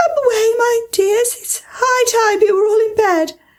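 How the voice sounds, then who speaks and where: Putting on a character voice, a woman speaks at a moderate pace with an extremely high, shaky pitch. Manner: anxious.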